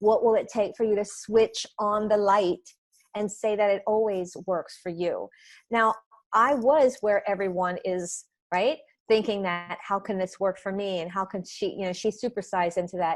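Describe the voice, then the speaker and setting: Pitched at a medium level, a woman talks at a moderate pace with fairly even intonation. It is a normal speaking voice. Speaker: energy healer and author. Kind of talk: interview conversation.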